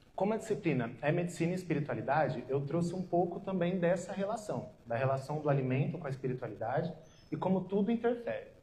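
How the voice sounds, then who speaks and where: In a room with audible echo, a man speaks very fast with a high pitch, lively intonation and a dark, mellow tone. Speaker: nutritionist. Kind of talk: lecture. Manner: soft-spoken.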